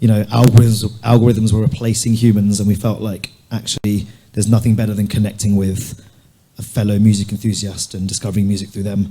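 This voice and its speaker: A man with a London accent, fairly low and somewhat breathy, dark and mellow in tone, monotone and flat, at a fairly quick pace. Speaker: music streaming entrepreneur. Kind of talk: panel discussion.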